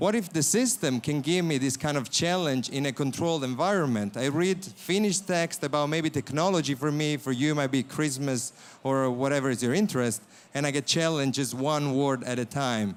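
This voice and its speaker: In an Italian accent, a man speaks at a fairly quick pace and fairly high pitch with ordinary pitch variation. His loudness is very even, on a very clean recording with a silent background. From Italy. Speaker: startup founder.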